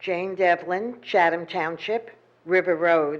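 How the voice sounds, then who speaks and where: A normal speaking voice at a fairly slow pace. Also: woman. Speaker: public commenter at town meeting. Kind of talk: public comment and reading a letter aloud. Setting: town council meeting.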